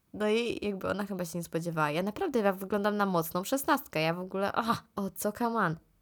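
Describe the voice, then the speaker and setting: A woman speaking at a very fast pace with ordinary pitch variation, on a very clean recording with a silent background. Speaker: podcaster. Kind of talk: casual solo monologue. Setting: indoors, moved in from outside.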